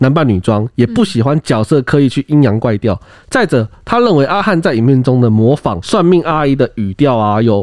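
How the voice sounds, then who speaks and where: In an ordinary speaking voice, a man talks at a moderate pace and medium pitch, with lively intonation, very even loudness and hardly any pauses. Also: dry, close sound with no echo. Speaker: podcast co-host. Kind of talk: casual discussion.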